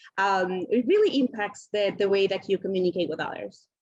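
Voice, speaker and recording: This woman speaks in a Colombian accent with ordinary pitch variation. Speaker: panelist, multicultural marketing professional. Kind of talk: panel discussion.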